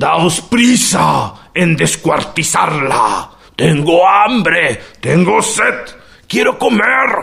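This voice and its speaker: Putting on a character voice, a man speaks at a high pitch. His pace is very slow. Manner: plaintive, whining, lamenting.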